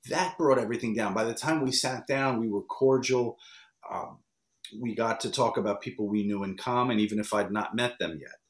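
A man with an American accent talks at a fairly quick pace with a medium pitch and ordinary pitch variation. The background is quiet, with audible room echo. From US Northeast (New York area). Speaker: wrestling interview producer. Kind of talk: interview. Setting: video call. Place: home room.

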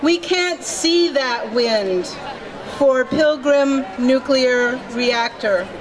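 Noticeable background noise sits behind a woman with a high pitch. She talks at a very slow pace with ordinary pitch variation. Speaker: emcee and poem reader. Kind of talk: poem reading at rally. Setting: outdoor rally stage. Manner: solemn, dramatic, measured. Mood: earnest, warning tone. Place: street. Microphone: podium.

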